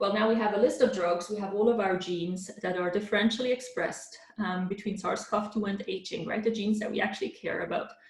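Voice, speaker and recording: Talking very fast with hardly any pauses, a woman is heard with audible room echo and noticeable background noise. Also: medium pitch for a woman, ordinary pitch variation. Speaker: professor. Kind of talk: lecture. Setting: virtual conference talk. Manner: hesitant fillers.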